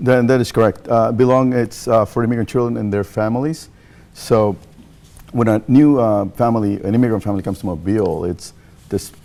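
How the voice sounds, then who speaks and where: A man's dark, mellow voice at a fairly quick pace. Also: medium pitch for a man, ordinary pitch variation. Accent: Mexican. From Mexico. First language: Spanish. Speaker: nonprofit leader. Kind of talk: TV interview. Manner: halting, many fillers.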